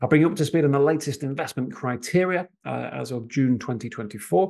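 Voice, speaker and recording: A man's fairly high voice, fairly quick, with ordinary pitch variation. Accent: slight Manchester. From northern England, Manchester. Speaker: financial planner and residency advisor. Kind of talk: webinar presentation with live Q&A. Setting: live online webinar. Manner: hesitant, many fillers.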